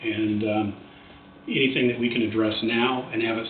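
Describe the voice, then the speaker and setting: Over noticeable background noise and audible room echo, a man talks at a medium pitch. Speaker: project presenter at county commission. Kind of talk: public meeting presentation. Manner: fast.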